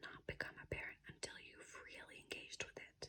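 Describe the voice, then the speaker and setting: Whispering at a fairly quick pace comes through over noticeable background noise. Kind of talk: ASMR reading. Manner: whispered.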